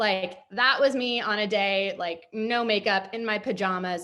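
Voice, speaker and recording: A woman with an American accent speaks at medium pitch and a moderate pace, with a bright, sharp tone and ordinary pitch variation. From Los Angeles, US West Coast. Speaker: photographer and director. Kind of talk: workshop presentation. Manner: casual, filler-heavy.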